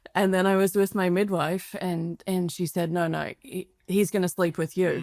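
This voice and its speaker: A woman with an Australian accent talks in a medium pitch and a monotone, flat intonation at a moderate pace, in a dry, close sound with no echo. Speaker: parenting educator and former veterinarian. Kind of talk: podcast interview.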